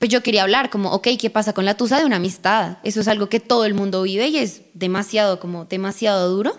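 A woman with a Bogotá accent, medium in pitch with ordinary pitch variation, at a very fast pace with hardly any pauses. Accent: Bogotá Colombian. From Bogotá, Colombia. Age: 20s. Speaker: singer. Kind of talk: interview.

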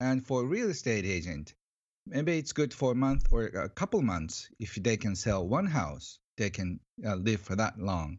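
A moderate pace with very wide pitch swings, in a Japanese accent. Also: man, medium pitch for a man. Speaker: author on money. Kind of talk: interview. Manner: halting, many fillers; cheerful, excited.

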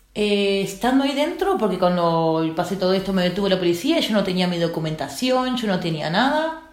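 A woman speaks at a medium pitch with very wide swings in it, and the room echo is audible. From Uruguay. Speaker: trafficking survivor. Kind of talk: testimony. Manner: halting.

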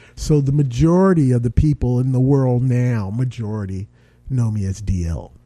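With a dark, mellow tone, a man talks at a moderate pace. His intonation is lively. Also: medium pitch for a man. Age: 40s. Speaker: actor. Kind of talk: casual chat. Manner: animated.

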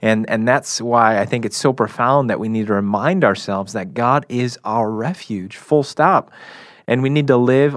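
Against a quiet background, a man with an ordinary speaking voice talks at a moderate pace. His pitch is medium, with ordinary pitch variation. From Chicago area. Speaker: camp program director. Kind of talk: faith discussion on radio.

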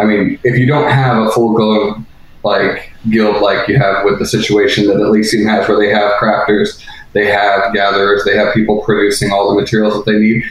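Against noticeable background noise, a man speaks at a moderate pace in a fairly low, monotone, flat voice with very even loudness. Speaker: caller. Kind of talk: heated debate. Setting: phone call.

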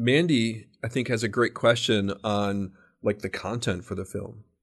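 This is a normal speaking voice at a fairly slow pace. Its pitch variation is ordinary. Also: man. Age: 50s. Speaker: podcast host. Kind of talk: casual interview.

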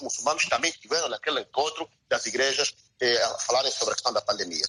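A man talks at a very fast pace. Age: 40s. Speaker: theologian and philosopher. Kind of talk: radio interview.

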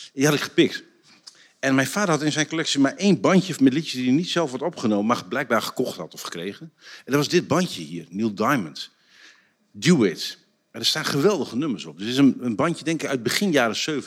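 Speaking at a fairly quick pace, a man with a fairly high pitch and vocal fry makes very wide pitch swings and big shifts in loudness, captured in a very clean recording with a silent background. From Netherlands, Drenthe (Borger). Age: 50s. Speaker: trendwatcher and author. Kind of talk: casual chat. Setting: stage with audience.

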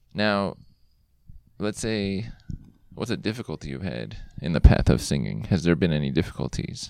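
With vocal fry and a very deep, low pitch, a man moves at a moderate pace through long, frequent pauses, his pitch swinging very widely and his loudness rising and falling sharply. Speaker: podcast host. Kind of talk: casual interview chat. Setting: outdoors in a park. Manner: animated, presentational.

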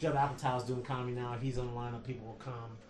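A man with an American accent at a very fast pace, with audible room echo and noticeable background noise. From US Midwest, Detroit. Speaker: stand-up comedian. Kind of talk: casual chat.

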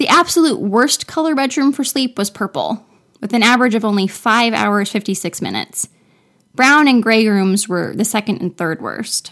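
A woman with an American accent speaks in a normal speaking voice at a moderate pace, her fairly high pitch carried by lively intonation on a very clean recording with a silent background. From Florida. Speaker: podcast host. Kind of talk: scripted narration.

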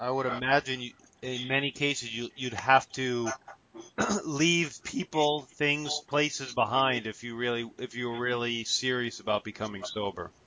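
Over noticeable background noise, the speaker holds a moderate pace with fairly even intonation. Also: man, medium pitch for a man. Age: 40s. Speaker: podcast co-host. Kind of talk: interview; scripted promo reading.

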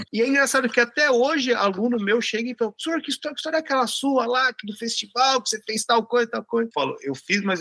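Hardly pausing, a man talks at a very fast pace in a raised, projected voice at an extremely high pitch, with lively intonation and a dry, close sound with no echo. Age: 40s. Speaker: tuba player. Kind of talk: interview.

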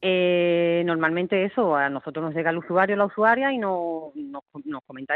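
A woman speaks with lively intonation at a fairly low pitch. It is a normal speaking voice. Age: 40s. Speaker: rural public librarian. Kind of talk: radio interview.

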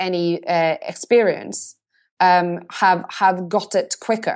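In a Norwegian accent, a woman speaks at a medium pitch with fairly even intonation. The background is quiet. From Norway. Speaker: marketing agency CEO. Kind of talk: interview.

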